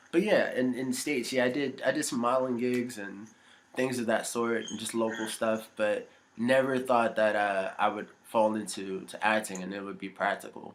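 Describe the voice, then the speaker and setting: This man has an unremarkable speaking voice with an American accent. His pitch is medium with ordinary variation, and his pace is moderate. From US, Virginia. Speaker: actor. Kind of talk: interview.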